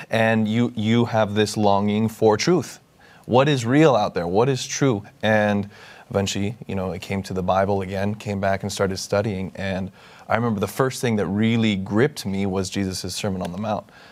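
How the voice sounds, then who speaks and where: Fairly low-pitched for a man, this man's unremarkable speaking voice moves at a moderate pace with ordinary pitch variation. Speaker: young adult Bible study leader. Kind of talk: interview.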